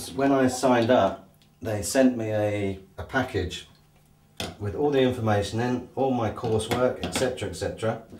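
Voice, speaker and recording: Noticeable background noise sits behind a man who talks at a moderate pace with a medium pitch and fairly even intonation. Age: 40s. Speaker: plumber. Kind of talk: interview answer. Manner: hesitant, casual.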